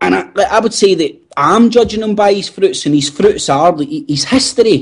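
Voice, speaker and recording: Speaking with a Glaswegian accent at a moderate pace, a man makes very wide pitch swings. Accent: Glaswegian Scottish. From Scotland, Glasgow. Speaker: podcast co-host. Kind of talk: casual chat.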